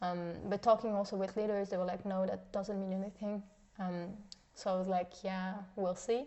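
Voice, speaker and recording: Speaking with a non-native accent, a woman uses a medium pitch and a monotone, flat intonation at a moderate pace. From Switzerland. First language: not English. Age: young. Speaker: mission school student. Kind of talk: podcast interview. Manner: halting, many fillers.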